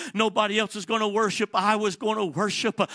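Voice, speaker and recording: A man with an American accent projects a raised, high-pitched voice in a bright, sharp tone. The recording is very clean, with a silent background and a dry, close sound with no echo. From Atlanta, Georgia, US South. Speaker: evangelist preacher. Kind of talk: sermon. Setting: church.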